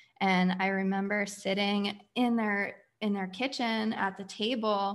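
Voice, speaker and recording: An unremarkable speaking voice from a woman with an American accent, fairly slow and fairly even in intonation, on a very clean recording with a silent background. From Pennsylvania. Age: 30s. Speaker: community founder. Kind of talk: personal testimony.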